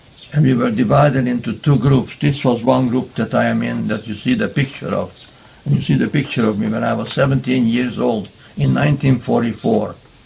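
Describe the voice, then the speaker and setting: Over noticeable background noise, a man with a Hungarian accent talks at a fairly quick pace. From Hungary. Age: 90s. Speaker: Holocaust survivor. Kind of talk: testimony.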